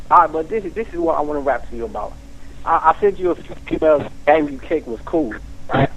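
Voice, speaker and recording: Over noticeable background noise, a man talks at a very fast pace, his loudness swinging widely. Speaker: caller to a radio or call-in show. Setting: phone.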